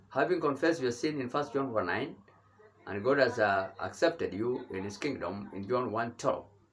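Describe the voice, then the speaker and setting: A man's medium-pitched voice at a moderate pace, lively in intonation, with audible room echo. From Kenya. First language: Kenyan mother tongue. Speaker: bishop and theology teacher. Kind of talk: sermon. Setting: at home. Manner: halting.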